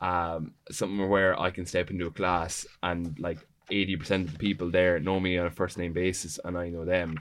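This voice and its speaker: A man's very deep, low voice in an Irish accent, monotone and flat, at a moderate pace over a quiet background. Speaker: student union president. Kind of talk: panel discussion.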